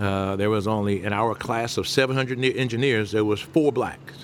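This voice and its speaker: With a Southern US accent, a man of fairly low pitch speaks at a moderate pace with ordinary pitch variation over noticeable background noise. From US South, Mobile, Alabama. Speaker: restaurant owner. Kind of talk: interview.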